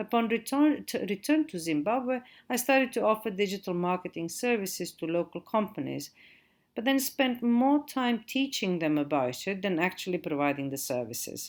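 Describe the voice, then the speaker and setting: A woman with a Croatian accent, very wide pitch swings and a moderate pace. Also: medium pitch for a woman, very clean recording, silent background. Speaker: digital marketing trainer. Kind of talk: lecture.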